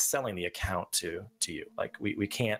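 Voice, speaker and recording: The recording is very clean, with a silent background. A man talks at a fairly low pitch with ordinary pitch variation. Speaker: game server staff member. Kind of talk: live Q&A stream. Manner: fast.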